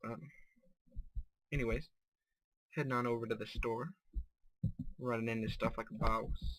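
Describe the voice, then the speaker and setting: A man with a medium-pitched voice talks at a moderate pace with ordinary pitch variation, leaving long, frequent pauses. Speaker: gaming video creator. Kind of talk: let's play commentary. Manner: casual, with filler words. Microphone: bad mic quality.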